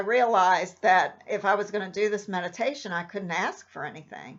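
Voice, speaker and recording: This is a woman with an unremarkable speaking voice. She talks at a moderate pace with a medium pitch. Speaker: meditation guide. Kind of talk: casual talk to camera.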